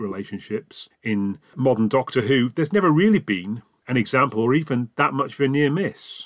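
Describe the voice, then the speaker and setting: A man speaks in a plain, everyday voice at a moderate pace. His intonation is lively. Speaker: podcaster and fan. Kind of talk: recorded listener response.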